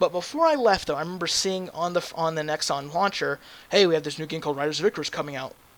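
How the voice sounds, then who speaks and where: The speech moves at a very fast pace. Intonation stays fairly even. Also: man, high pitch for a man. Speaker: gaming YouTuber. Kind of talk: game review commentary. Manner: halting, many fillers and restarts.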